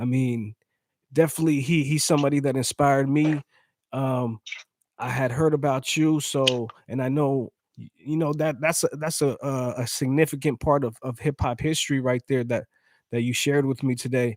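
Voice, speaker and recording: Using a normal speaking voice, a man talks at a moderate pace and a fairly high pitch with fairly even intonation, in a dry, close sound with no echo. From San Diego, California. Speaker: interviewer. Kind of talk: interview.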